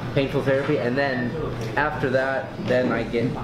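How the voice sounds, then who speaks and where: Loud background noise runs under a man talking at a fairly quick pace. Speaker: guest. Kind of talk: interview answer. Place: cafe. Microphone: camera far.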